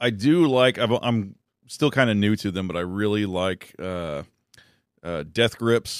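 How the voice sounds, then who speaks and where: In a plain, everyday voice, a man speaks at a fairly slow pace with fairly low pitch and lively intonation. The recording is very clean, with a silent background. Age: 30s. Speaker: comedian. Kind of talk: casual chat. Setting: studio.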